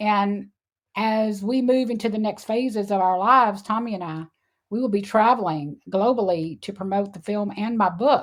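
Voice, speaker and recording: On a very clean recording with a silent background, a woman talks at a moderate pace and a medium pitch with ordinary pitch variation. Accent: Texan. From Texas, Houston. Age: 60s. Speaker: animal sanctuary founder. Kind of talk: interview.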